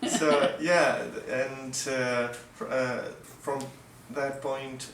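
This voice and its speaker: Heard with audible room echo and noticeable background noise, a man with a Russian accent talks very slowly at a medium pitch in a monotone, flat way. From Mexico. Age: 20s. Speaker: violinist. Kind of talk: casual interview. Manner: halting, many fillers and restarts.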